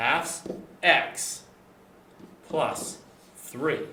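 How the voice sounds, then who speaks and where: Audible room echo and noticeable background noise surround a man as he talks. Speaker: math teacher. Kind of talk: tutorial.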